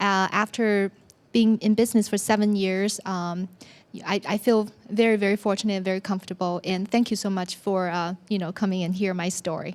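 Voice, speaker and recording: A woman with a Chinese accent speaks at a fairly quick pace in a monotone, flat intonation. The recording is very clean, with a silent background. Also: medium pitch for a woman. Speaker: business owner. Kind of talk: personal story talk. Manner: hesitant, with many fillers.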